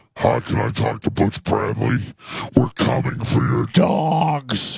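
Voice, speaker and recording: Using a put-on character voice that is raspy, a man speaks at a medium pitch and a fairly slow pace. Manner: menacing, trying to sound tough.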